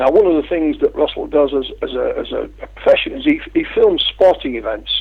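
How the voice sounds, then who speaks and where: Speaking at a moderate pace, a man talks with an English accent. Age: 50s. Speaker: UFO researcher and publisher. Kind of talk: interview.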